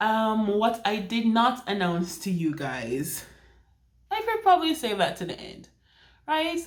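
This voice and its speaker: Pitch swings very widely while the pace stays fairly slow. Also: woman. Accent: Jamaican. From Jamaica. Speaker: romance author and vlogger. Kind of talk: casual vlog. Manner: chatty, with many fillers and restarts.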